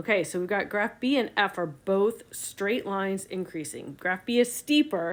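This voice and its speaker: A woman's unremarkable speaking voice at medium pitch, fairly slow, with lively intonation, on a very clean recording with a silent background. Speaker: science teacher. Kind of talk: tutorial.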